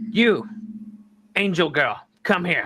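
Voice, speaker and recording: Using a put-on character voice, a man speaks at a high pitch. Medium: actual play. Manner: blunt, gruff.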